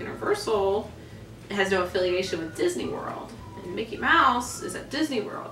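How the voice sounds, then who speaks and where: A woman speaks at a moderate pace. There is audible room echo and light background noise. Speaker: theme park performer and dancer. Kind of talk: casual talk to camera. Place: home room. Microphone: camera far.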